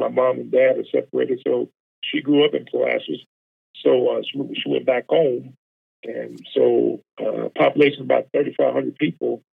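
Speaking at a moderate pace, a man talks with a Texan accent. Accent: Texan Southern US. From Texas, small town outside Houston. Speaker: college football defensive line coach. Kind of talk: casual interview chat. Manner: halting, many fillers.

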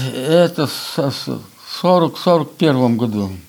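A man speaks with lively intonation. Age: 80s+. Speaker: folk instrument maker and musician. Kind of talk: casual interview. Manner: halting.

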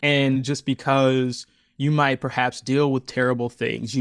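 Recorded very cleanly against a silent background, a man with a normal speaking voice talks at medium pitch and a moderate pace. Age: 30s. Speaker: audio fiction creator and narrator. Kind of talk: casual interview.

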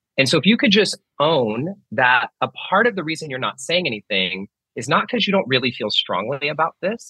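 Pitched fairly high, a man's bright, sharp voice with vocal fry moves at a fairly quick pace through very wide pitch swings, with a dry, close sound and no echo. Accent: American. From Northern California. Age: 30s. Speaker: author and meditation teacher. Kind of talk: interview.

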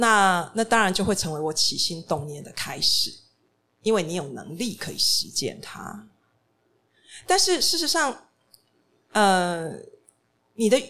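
A woman with a bright, sharp tone speaks at a medium pitch and a fairly slow pace, pausing long and often. Her loudness swings widely, and her pitch swings very widely. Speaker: restaurant and bookstore founder. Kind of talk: panel talk. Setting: stage with audience.

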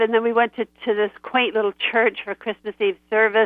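A woman speaks with monotone, flat intonation. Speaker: voice actress and writer. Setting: phone call.

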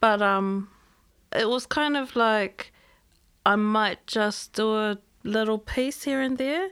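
Speaking at a very slow pace with long, frequent pauses, a woman uses a fairly high pitch and ordinary pitch variation in a very clean recording with a silent background. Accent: New Zealand. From New Zealand, Auckland. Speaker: musician and writer. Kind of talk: casual chat. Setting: studio.

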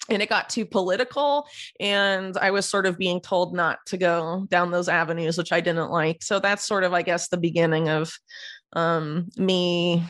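Against a quiet background, a woman with a plain, everyday voice speaks at a moderate pace, pitched fairly low with ordinary pitch variation. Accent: American. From US, Florida. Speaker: investigative journalist. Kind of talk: interview. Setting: video call.

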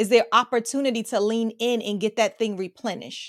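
Speaking at a fairly quick pace in an animated, warm tone, the voice has a dry, close sound with no echo on a very clean recording with a silent background. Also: woman. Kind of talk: rally-style motivational speech, preacher-like call and response. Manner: animated, rhythmic, repeating phrases for emphasis; warm, encouraging, direct address to the audience.

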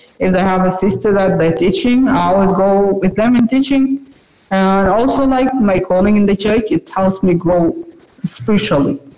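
Over noticeable background noise, a woman of medium pitch speaks at a moderate pace with lively intonation and very even loudness. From South Sudan / Sudan, moved to Uganda as a child. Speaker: online university student. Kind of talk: interview. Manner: halting, many fillers and restarts.

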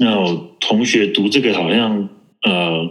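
This is a man with a fairly low-pitched voice. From Taiwan. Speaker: network engineer. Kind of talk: interview. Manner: halting.

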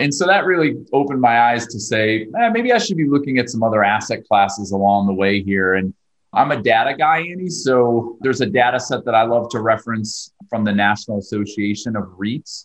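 A man talks at a fairly quick pace with hardly any pauses, in a normal speaking voice. His pitch is medium, with ordinary variation. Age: 40s. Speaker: real estate investor. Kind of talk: interview.

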